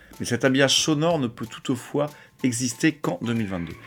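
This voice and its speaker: Music runs in the background. Over it, a man talks at a medium pitch. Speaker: music radio show host. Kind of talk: radio music show presentation.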